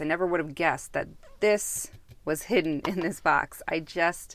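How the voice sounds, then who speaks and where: On a very clean recording with a silent background, the voice moves at a moderate pace with ordinary pitch variation. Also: woman. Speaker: tarot youtuber. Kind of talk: product review. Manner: hesitant, many fillers.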